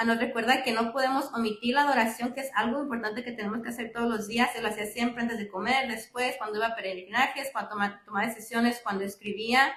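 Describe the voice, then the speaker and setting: A woman's fairly high, flat, monotone voice at a very fast pace with hardly any pauses, amid noticeable background noise. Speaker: lay speaker at parish faith talk. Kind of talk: religious reflection talk. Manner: halting with fillers.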